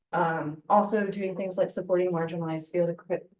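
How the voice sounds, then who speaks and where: Fairly quick speech from a woman with an American accent, fairly low in pitch, an unremarkable speaking voice. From United States. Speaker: conservation scientist. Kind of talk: conference talk.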